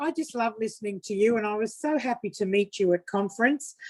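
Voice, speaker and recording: A woman's fairly high pitch at a moderate pace, a normal speaking voice with ordinary pitch variation. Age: 50s. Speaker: network marketing distributor. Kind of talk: testimony.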